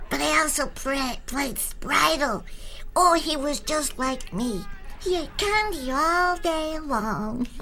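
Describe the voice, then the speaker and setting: Raising and projecting her high-pitched voice, a woman speaks very slowly with a bright, sharp tone and lively intonation. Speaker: voice actor. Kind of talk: commentary track. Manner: lively, enthusiastic.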